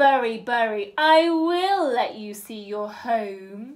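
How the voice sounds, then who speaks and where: A woman growls in a put-on character voice, fairly high in pitch, at a very slow pace. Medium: read story. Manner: snarling.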